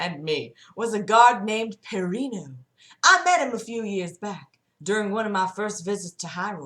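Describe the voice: With a quiet background behind it, the clip is plain reading aloud.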